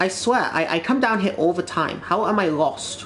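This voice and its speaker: Over noticeable background noise, a woman talks at a medium pitch with very wide pitch swings. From Britain. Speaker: gaming streamer. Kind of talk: casual live-stream chat while gaming. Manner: halting, frequent repetitions and fillers.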